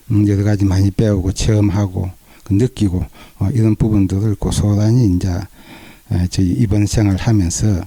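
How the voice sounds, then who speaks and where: The man's voice is fairly low, somewhat breathy, and dark and mellow in tone. He keeps a moderate pace, fairly even intonation and very even loudness. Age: 60s. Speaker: cancer patient. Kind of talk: interview testimony.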